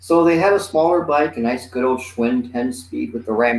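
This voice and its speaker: Here is a man with an unremarkable speaking voice. He talks at a medium pitch and a moderate pace, with lively intonation. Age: 60s. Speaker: comedian. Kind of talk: casual chat.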